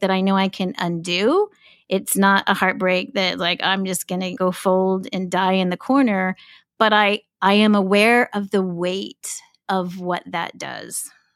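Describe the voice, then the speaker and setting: Heard in a very clean recording with a silent background and a dry, close sound with no echo, a woman has an ordinary speaking voice at medium pitch with fairly even intonation. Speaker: podcast co-host. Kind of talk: casual conversational podcast chat.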